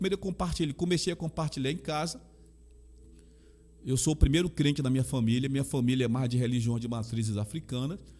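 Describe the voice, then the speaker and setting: Over music in the background, a man talks at a fairly quick pace with a Bahian accent. His pitch sits fairly high. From Brazil, Salvador, Bahia. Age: 60s. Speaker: pastor and chaplain. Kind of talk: interview.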